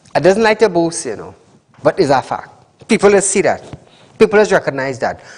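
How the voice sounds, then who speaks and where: A man with a Trinidadian accent, high-pitched, at a fairly quick pace. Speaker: TV call-in show host. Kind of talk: live call-in TV show.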